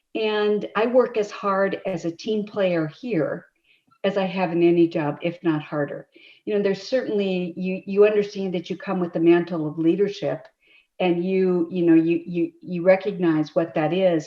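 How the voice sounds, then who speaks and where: Moderate pace and ordinary pitch variation from a woman with a medium-pitched voice. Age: 60s. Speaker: county commissioner. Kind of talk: public meeting testimony. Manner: halting, many repetitions.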